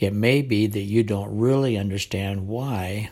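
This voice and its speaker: Speaking with an American accent, a man keeps a fairly slow pace. His voice is somewhat breathy, with fairly even intonation. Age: 70s. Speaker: war veteran. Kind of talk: scripted narration.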